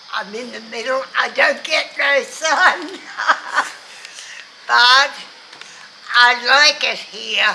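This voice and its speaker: A woman's high-pitched, raised and projected voice with an Australian accent, very slow, with long, frequent pauses, ordinary pitch variation, big swings in loudness and noticeable background noise. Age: 80s+. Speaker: older public housing resident. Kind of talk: interview. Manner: halting.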